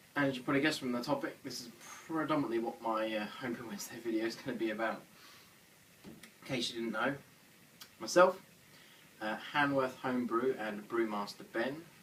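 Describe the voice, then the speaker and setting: With audible room echo, a man of medium pitch speaks at a fairly quick pace, using ordinary pitch variation and long, frequent pauses. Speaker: homebrewing vlogger. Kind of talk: casual vlog; casual chat at an event. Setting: beer festival, crowded hall.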